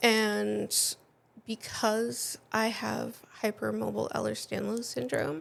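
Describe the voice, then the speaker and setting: A woman at a very slow pace, with a slight New England accent. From New England, US (New Hampshire). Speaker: patient sharing her illness story. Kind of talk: interview testimony.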